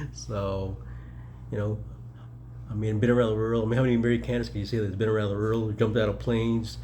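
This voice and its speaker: Speech moves at a fairly quick pace, with audible room echo. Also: man. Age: 60s. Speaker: mayoral candidate and military veteran. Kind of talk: casual personal reflection vlog. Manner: rambling, halting with fillers.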